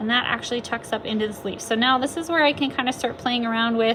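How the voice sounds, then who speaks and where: At a fairly quick pace, a woman speaks in a high pitch over noticeable background noise. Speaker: art teacher. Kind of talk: tutorial. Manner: casual with fillers.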